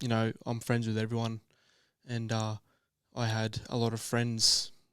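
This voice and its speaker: On a very clean recording with a silent background, a man with an Australian accent speaks at medium pitch and a moderate pace. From Australia, western Sydney. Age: 20s. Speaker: app founder, entrepreneur. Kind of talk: podcast interview.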